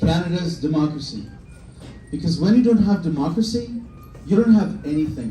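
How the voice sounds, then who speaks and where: A high-pitched man's voice with audible room echo. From former Soviet Union. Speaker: politician. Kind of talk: campaign speech. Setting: bar event with live audience. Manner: impassioned.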